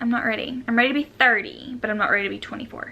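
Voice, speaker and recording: Speaking fairly quickly, a woman with a Southern US accent uses a high-pitched voice. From US South, Jonesboro, Arkansas. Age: 20s. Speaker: lifestyle vlogger. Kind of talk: casual chat.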